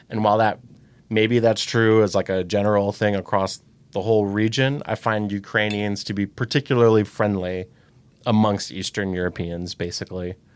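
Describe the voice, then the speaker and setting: This is a man with an ordinary speaking voice and an American accent, pitched fairly low. He talks at a moderate pace on a very clean recording with a silent background. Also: fairly even intonation. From US Midwest, Saint Louis. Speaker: volunteer driver. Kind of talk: podcast interview.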